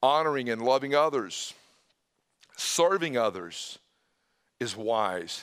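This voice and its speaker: Delivery is very slow, with long, frequent pauses. The intonation is lively. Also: man, medium pitch for a man. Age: 50s. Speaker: pastor. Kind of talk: sermon. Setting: church.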